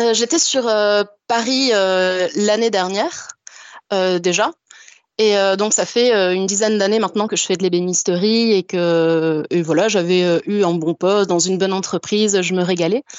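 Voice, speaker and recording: A woman talks at a moderate pace, her pitch medium with ordinary variation. Her loudness stays very even, broken by long, frequent pauses. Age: 20s. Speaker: cabinetmaker calling in to a radio show. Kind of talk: testimony on a live call-in show. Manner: energetic.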